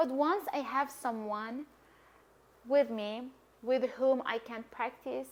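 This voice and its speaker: Speaking in a Persian accent, a woman uses a high pitch with ordinary pitch variation. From Iran. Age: 20s. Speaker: language coach and polyglot. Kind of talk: casual vlog talk.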